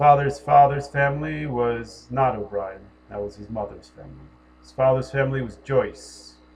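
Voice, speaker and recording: Music plays in the background while a man with an American accent talks at a moderate pace, his pitch varying normally and his loudness swinging widely. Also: medium pitch for a man. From US Northeast, Connecticut. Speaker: spiritual commentator. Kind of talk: personal monologue.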